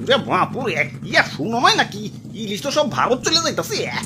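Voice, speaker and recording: A man's cartoonish character voice at a moderate pace, over clear background noise. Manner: exclaiming, rustic filler words.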